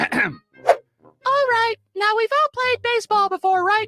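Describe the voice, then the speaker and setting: Someone does a put-on character voice, squeaky, strained and extremely high. The pace is fairly slow. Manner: performative, comic.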